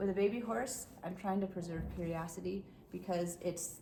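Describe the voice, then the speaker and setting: A woman speaks at a fairly low pitch and a moderate pace. Audible room echo surrounds her voice. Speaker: horse trainer. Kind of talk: tutorial. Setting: horse stall.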